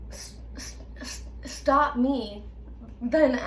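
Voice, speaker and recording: Speaking at a very slow pace, a woman is heard. Noticeable background noise and audible room echo accompany her. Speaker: video creator who stutters. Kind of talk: casual chat. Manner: stutter with repetitions; halting.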